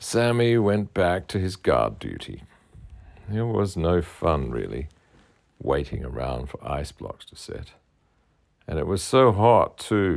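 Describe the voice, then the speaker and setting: A man with an Australian accent and a very deep, low pitch speaks at a very slow pace, with long, frequent pauses and very wide pitch swings. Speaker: children's author. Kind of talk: children's story reading.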